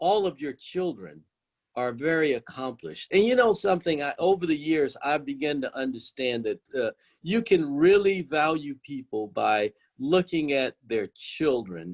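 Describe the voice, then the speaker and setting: An unremarkable speaking voice at a moderate pace, lively intonation, a dry, close sound with no echo, and a very clean recording with a silent background. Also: man. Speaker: podcast host. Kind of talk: interview question.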